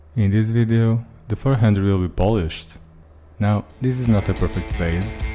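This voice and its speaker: With music in the background, a man speaks at a moderate pace in a fairly low pitch with ordinary pitch variation. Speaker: car detailer. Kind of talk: tutorial voice-over.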